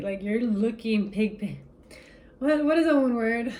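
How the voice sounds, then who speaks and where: A woman with a non-native accent speaks at a moderate pace and a fairly high pitch, somewhat breathy and animated, with ordinary pitch variation. Audible room echo surrounds her voice. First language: not English. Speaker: tarot reader. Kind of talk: spiritual reading to camera. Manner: casual, animated.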